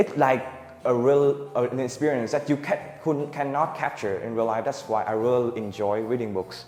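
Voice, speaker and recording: A man at a medium pitch speaks at a moderate pace with ordinary pitch variation over noticeable background noise. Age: young. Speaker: student. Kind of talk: student presentation. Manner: halting.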